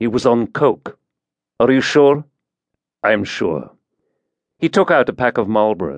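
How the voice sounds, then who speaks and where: With vocal fry and very wide pitch swings, the voice moves at a fairly slow pace through long, frequent pauses, in a dry, close sound with no echo. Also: man, medium pitch for a man. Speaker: audiobook narrator. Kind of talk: dramatic thriller narration, scripted audiobook reading with character voices. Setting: studio. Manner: tense, hushed menace in the murder scene, cold and matter-of-fact; steady, clipped pace, with sardonic dialogue lines and shifts between characters.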